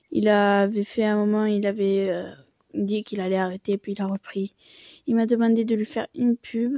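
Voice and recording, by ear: A woman in a regional French accent speaks at a moderate pace and medium pitch with fairly even intonation. Her tone is dark and mellow, and the sound is dry and close with no echo.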